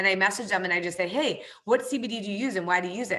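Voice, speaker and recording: Her voice is medium in pitch with a bright, sharp, animated tone, lively intonation and a very fast pace. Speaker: network marketing trainer. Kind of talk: online training presentation.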